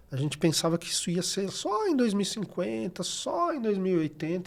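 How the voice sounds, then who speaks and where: With noticeable background noise behind him, a man with a high pitch speaks at a moderate pace with lively intonation. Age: 60s. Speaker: recycling NGO coordinator. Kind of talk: podcast interview.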